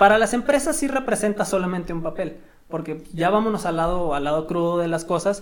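This is a man with a high-pitched voice. He talks at a fairly quick pace. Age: 20s. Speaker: engineer and teacher. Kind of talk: casual interview chat.

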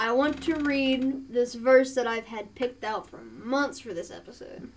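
Against noticeable background noise, a woman with an Appalachian accent speaks at a fairly slow pace in a high pitch. Her loudness swings widely, and her pitch varies in an ordinary way. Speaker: podcast co-host. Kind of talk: casual chat.

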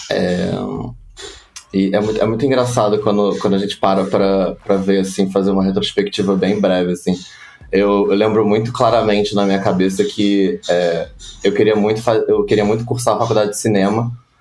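A man speaks at a moderate pace in a fairly low, monotone voice with flat intonation and very even loudness. Noticeable background noise sits behind him. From Rio de Janeiro, Brazil (West Zone). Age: 20s. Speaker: advertising production professional. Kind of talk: casual interview.

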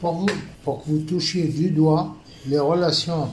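Audible room echo along with noticeable background noise. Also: man. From Tunisia. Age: 70s. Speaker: retired banker, stroke survivor. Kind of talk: interview testimony.

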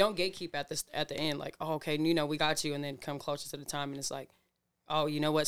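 With an American accent, a woman rattles along at a very fast pace, her very deep, low voice held in a monotone, flat intonation. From Washington (Seattle area, Burien). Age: 20s. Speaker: singer. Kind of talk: casual chat.

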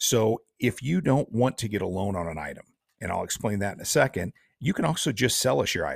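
At medium pitch, a man speaks somewhat breathily at a fairly quick pace, with very wide pitch swings. The sound is dry and close with no echo, on a very clean recording with a silent background. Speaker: pawn shop general manager. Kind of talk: casual interview. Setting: studio.

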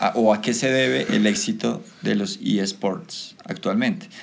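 A man speaks with lively intonation. Noticeable background noise can be heard. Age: 30s. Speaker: teacher leading school podcast. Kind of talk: casual chat.

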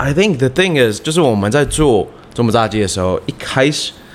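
A man talks at a fairly quick pace with very wide pitch swings. Noticeable background noise runs underneath. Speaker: chef and fried chicken restaurant founder. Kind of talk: casual interview.

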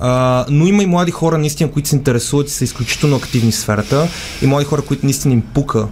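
Over noticeable background noise, a man with a fairly high pitch talks at a very fast pace at a very even loudness. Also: ordinary pitch variation. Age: young. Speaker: human rights lawyer. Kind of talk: radio interview.

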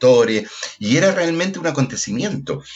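A man with very wide pitch swings over noticeable background noise. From Chile, Puente Alto (Santiago). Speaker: actor and theatre director. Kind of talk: casual chat.

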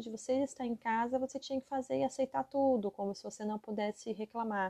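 A woman's fairly high voice, dark and mellow in tone, with ordinary pitch variation and a dry, close sound with no echo. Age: 30s. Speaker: podcast host, psychologist and mother. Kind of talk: casual monologue podcast.

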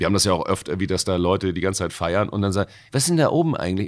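Speaking very fast, a man keeps his pitch fairly low. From Hamburg, Wilhelmsburg. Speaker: bouncer and voice actor. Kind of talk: casual chat.

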